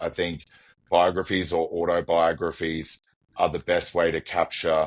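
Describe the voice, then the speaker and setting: In an Australian accent, a man with a very deep, low voice speaks at a fairly slow pace against a quiet background. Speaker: business executive. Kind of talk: podcast interview.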